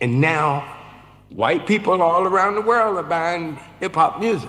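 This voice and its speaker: Noticeable background noise surrounds a man with a high pitch. He speaks at a fairly slow pace with lively intonation. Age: 70s. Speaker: film producer. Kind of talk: panel discussion.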